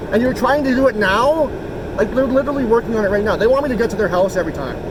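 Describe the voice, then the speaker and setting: With noticeable background noise behind him, a man with a Canadian Prairies accent talks at a very fast pace in an extremely high pitch with ordinary pitch variation. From Canada. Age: 40s. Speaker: local activist filming police. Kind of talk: casual conversation with police officer.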